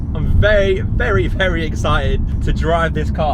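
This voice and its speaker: Someone with a British accent is heard with audible room echo and noticeable background noise. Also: man. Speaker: car vlogger. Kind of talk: casual vlog talk to camera. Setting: in a car. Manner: loud.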